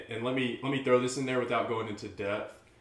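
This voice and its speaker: A man is speaking. Audible room echo follows his voice. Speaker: podcast host. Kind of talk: casual chat. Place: home room.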